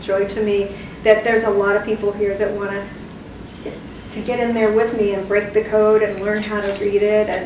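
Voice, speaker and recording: At a moderate pace, a woman talks in a flat monotone, with audible room echo and noticeable background noise. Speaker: artist and educator. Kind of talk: public talk. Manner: loud.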